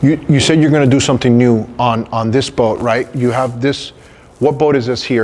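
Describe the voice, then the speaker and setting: A man's plain, everyday voice at a medium pitch and moderate pace, with ordinary pitch variation. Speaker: show host. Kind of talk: casual talk to camera.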